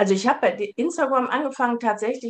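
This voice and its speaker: Moderate-paced delivery from a woman, her pitch moving in an ordinary way. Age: 50s. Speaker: family and couples counselor. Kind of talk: casual interview. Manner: hesitant, many filler sounds.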